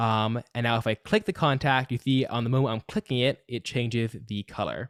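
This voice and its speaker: A man with an unremarkable speaking voice talks at medium pitch with fairly even intonation, the sound dry and close with no echo. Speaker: coding teacher. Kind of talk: live online coding class. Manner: casual, many fillers.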